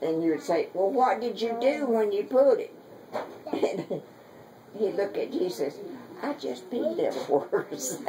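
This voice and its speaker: Speech comes at a fairly slow pace in a strong Southern US accent, with long, frequent pauses. Noticeable background noise runs underneath. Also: woman. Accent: thick Southern US. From Southern United States. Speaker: great-grandmother. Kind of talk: family storytelling. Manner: folksy, rambling.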